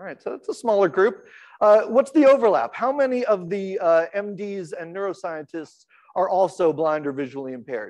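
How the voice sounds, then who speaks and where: A loud man speaks at a moderate pace with high pitch. His pitch swings very widely. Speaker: accessibility researcher. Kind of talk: conference talk. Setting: stage with audience, PA system. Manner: halting, many fillers.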